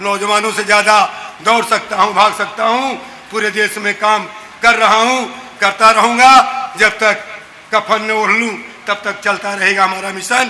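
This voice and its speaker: A raised, projected voice speaks in a monotone, flat intonation, with long, frequent pauses and noticeable background noise. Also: man, high pitch for a man. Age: 60s. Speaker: activist. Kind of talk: public speech. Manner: impassioned, repetitive oratory.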